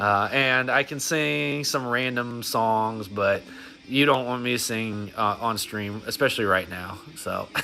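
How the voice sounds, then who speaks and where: Over noticeable background noise, a man speaks at a fairly slow pace. His pitch is medium, with ordinary variation. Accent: American. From Texas (Dallas). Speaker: mobile game streamer. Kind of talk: casual livestream chat. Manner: halting, many restarts and fillers.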